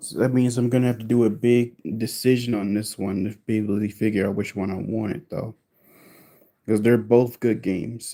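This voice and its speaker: A man with a dark, mellow tone, medium pitch, fairly even intonation and a moderate pace. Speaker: gaming live streamer. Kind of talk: live stream chat. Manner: casual, halting.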